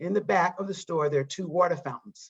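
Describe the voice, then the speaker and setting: Here is a woman with an American accent. Her pitch is fairly low. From US South, eastern North Carolina. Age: 60s. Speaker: psychotherapy trainer and diversity consultant. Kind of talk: interview. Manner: halting, with many restarts and fillers.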